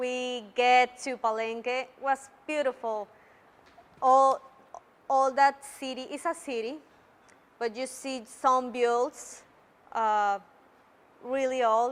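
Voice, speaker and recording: In a Mexican accent, a woman speaks at a high pitch with fairly even intonation. Her pace is very slow, with long, frequent pauses. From Mexico. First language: Spanish. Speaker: Toastmasters club member. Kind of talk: public speech. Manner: halting.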